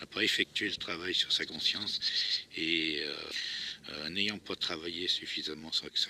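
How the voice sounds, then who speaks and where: A man's bright, sharp tone. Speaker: actor and co-screenwriter. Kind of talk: improvised spoken reflection while walking. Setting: outdoors. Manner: hesitant, many filler sounds.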